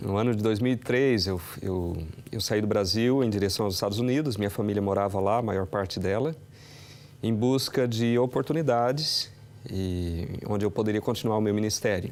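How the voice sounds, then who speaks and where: A man with an unremarkable speaking voice at medium pitch, moderate pace, ordinary pitch variation and very even loudness. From Brazil. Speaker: pastor. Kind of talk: TV interview.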